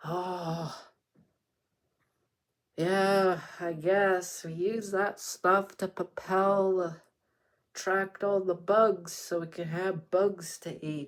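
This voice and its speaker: Putting on a character voice, a man speaks high and monotone at a very slow pace with long, frequent pauses, in a very clean recording with a silent background. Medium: read story.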